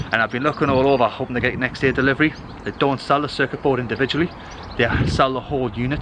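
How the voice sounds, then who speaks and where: A man at a medium pitch and a very fast pace, with noticeable background noise. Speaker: family vlogger. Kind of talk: casual vlog chat. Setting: outdoors at a train station.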